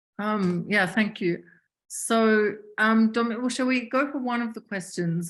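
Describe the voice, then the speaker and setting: The speaker is a woman with an Australian accent. She talks at a fairly slow pace. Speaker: webinar chair. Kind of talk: webinar moderation.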